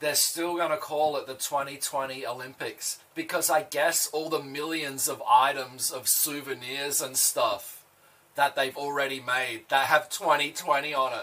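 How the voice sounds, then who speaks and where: Fairly high-pitched, a man with an Australian accent speaks at a moderate pace. His intonation stays fairly even. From Australia (Adelaide). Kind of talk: casual chat.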